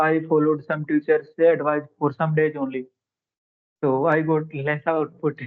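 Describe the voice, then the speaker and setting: A man at a moderate pace in a Haryana accent, with monotone, flat intonation. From India, Haryana. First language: Haryanvi. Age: 20s. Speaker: English learner, railway employee. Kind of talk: English conversation practice. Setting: call. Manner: halting.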